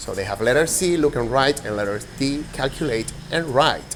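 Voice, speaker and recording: Over noticeable background noise, a man talks at medium pitch and a fairly slow pace with ordinary pitch variation. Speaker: teacher. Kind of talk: demo lesson.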